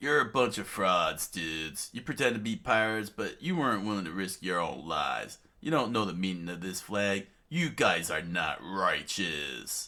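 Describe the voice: On a very clean recording with a silent background, a man uses a put-on character voice with a low pitch, a bright, sharp tone and lively intonation, speaking at a fairly slow pace.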